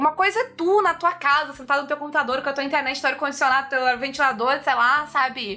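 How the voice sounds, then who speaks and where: In a raised, projected voice, a woman speaks very fast at a high pitch with hardly any pauses, very even loudness and ordinary pitch variation. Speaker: podcast host. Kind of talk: casual chat.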